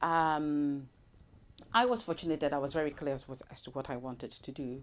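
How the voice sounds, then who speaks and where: Talking at a fairly quick pace, a woman has a very deep, low pitch with ordinary variation and big swings in loudness. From Nigeria and the South Pacific, ending in New Zealand. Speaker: development project manager, trained in law. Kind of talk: interview. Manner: hesitant, many fillers.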